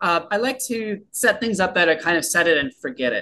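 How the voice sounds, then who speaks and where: A man with an American accent speaks in a raised, projected voice with a bright, sharp tone. His pace is moderate and his intonation lively. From San Diego, California. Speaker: entrepreneur and author. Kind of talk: interview.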